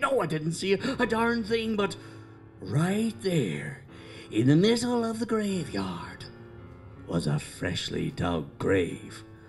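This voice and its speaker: The speaker puts on a character voice in an Irish accent, talking at a fairly slow pace. Long, frequent pauses break up the speech over clear background music. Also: man, high pitch for a man. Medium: stage play. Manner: rambling, folksy.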